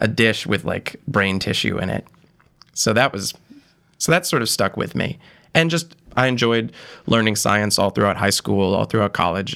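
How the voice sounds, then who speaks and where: A man talks at a fairly quick pace in an ordinary speaking voice with an American accent. His pitch is fairly low, with ordinary pitch variation. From western Massachusetts, rural. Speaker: first-year PhD student. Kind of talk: casual interview.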